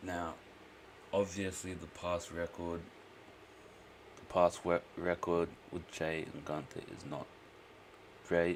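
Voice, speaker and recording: In an Australian accent, a man speaks very slowly with long, frequent pauses and a very deep, low pitch. His intonation is monotone and flat, while his loudness swings widely. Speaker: streamer. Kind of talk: live stream reaction commentary. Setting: at home, live stream. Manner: quiet, keeping voice down; casual, filler-heavy.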